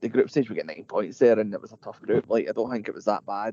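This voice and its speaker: A man with a Glasgow accent, medium pitch and a dark, mellow tone, in a dry, close sound with no echo. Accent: Scottish (Glasgow). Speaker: football podcast co-host. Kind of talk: casual chat.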